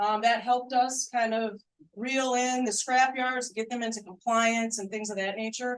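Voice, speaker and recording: Speaking at a moderate pace, a woman with a fairly high pitch keeps her intonation monotone and flat. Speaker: police commander. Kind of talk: community meeting address. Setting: public meeting room, no mic. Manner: loud; halting, many fillers. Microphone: no microphone, room sound.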